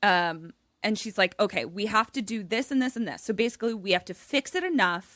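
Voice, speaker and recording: With an American accent and a fairly high pitch, a woman speaks at a moderate pace with lively intonation, in a dry, close sound with no echo and a very clean recording against a silent background. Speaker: comedy podcast host. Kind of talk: casual chat, retelling a movie plot. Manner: animated.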